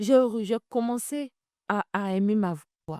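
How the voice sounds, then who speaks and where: Fairly slow and with lively intonation, a woman speaks in a dark, mellow tone with a dry, close sound and no echo. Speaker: talk show host. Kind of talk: testimony. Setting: live video stream.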